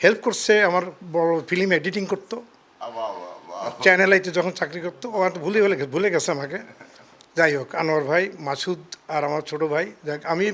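A man speaks at a high pitch with ordinary pitch variation. Noticeable background noise runs behind him. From Bangladesh, Khulna region. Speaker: restaurant owner. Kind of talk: street interview.

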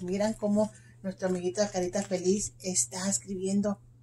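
A somewhat breathy woman's voice with a dark, mellow tone, fairly slow, over light background noise. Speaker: teacher. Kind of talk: lesson for young children. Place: classroom. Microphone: phone near.

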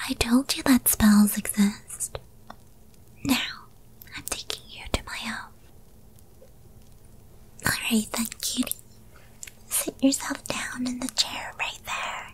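A woman whispering in a put-on character voice at a fairly slow pace, with long, frequent pauses. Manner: whispered.

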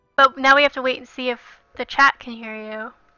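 A woman speaks at a high pitch with a dry sound and no echo. Faint music plays in the background. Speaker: game streamer. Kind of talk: casual stream chat. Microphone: headset.

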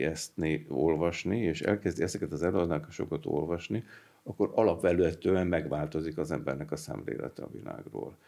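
Over a quiet background, the voice moves at a moderate pace with a dark, mellow tone and vocal fry. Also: man. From Hungary. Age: 70s. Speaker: retired mechanical engineer, anthroposophy society representative; interview guest. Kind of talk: interview. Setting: studio. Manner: halting, with fillers and repetitions. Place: studio. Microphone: studio mic.

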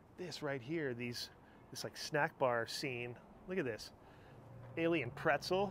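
A man talks fairly slowly, his pitch varying in an ordinary way, with light background noise behind him. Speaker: travel vlogger. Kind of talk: casual vlog chat. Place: street. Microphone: phone near.

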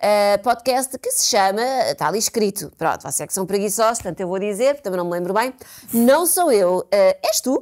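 Over a quiet background, a woman with a plain, everyday voice speaks at a moderate pace, pitched fairly high, with lively intonation. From Portugal. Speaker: podcast co-host. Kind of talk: casual chat. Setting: studio. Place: studio.

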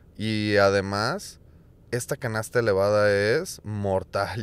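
This is an ordinary speaking voice, a man at a fairly low pitch with fairly even intonation. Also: very clean recording, silent background. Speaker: disc golf commentator. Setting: voiceover recorded over replay video. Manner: fluent, explanatory, describing shots and course details.

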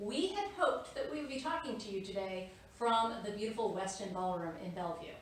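Audible room echo and light background noise surround a woman speaking with ordinary pitch variation. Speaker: CEO of a social ventures organization. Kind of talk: virtual event welcome / fundraiser introduction. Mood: upbeat, friendly. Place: office. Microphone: camera far.

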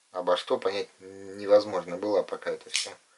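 A man's moderately paced speech is heard with noticeable noise in the background. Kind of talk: casual show-and-tell commentary. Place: home room. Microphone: camera far.

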